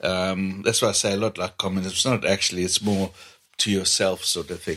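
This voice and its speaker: A man with a Zambian accent and a fairly low voice. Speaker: mechanic with own garage. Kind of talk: casual interview chat. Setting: at home.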